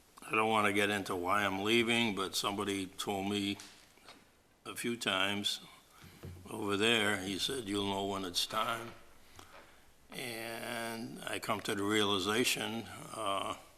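In a room with audible echo, a man with a bright, sharp tone and fairly low pitch speaks at a fairly slow pace in a monotone, flat intonation. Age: 70s. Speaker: board of health chair. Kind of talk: public meeting. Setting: town hall meeting room. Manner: halting with fillers.

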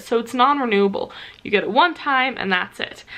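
The woman talks with ordinary variation in her pitch. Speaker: student vlogger. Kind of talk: casual vlog chat. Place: home room. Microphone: phone near.

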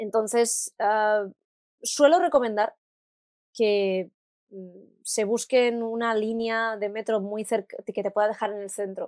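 A woman's fairly high-pitched voice, very slow with long, frequent pauses and fairly even intonation, in a dry, close sound with no echo. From Spain, Alicante. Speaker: singer and voice actress. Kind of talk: interview.

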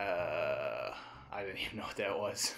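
Over music in the background, a man talks at a fairly slow pace with fairly even intonation. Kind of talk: casual, joking voiceover of a makeup tutorial.

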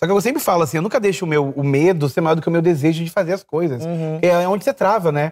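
Against a quiet background, a high-pitched man rattles off words at a very fast pace with hardly any pauses and ordinary pitch variation. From Brazil. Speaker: artist; talk show guest. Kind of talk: casual chat. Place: studio. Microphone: lapel.

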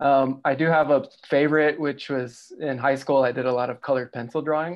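Against a quiet background, a man with an American accent speaks at a moderate pace in a monotone, flat intonation. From Texas, El Paso; Texas. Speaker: illustrator; panelist. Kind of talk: panel discussion. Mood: warm, relaxed, smiling. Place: home room. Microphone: video call.

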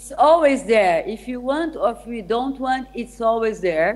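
The pitch of this woman's voice is high. It shows ordinary pitch variation. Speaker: remote guest lecturer. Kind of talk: lecture. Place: hall.

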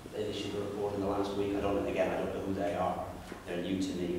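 A man talks in a fairly low voice. There is light background noise and strong room echo. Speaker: member of the public or councillor raising a question. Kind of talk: meeting contribution. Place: meeting room. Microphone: camera far.

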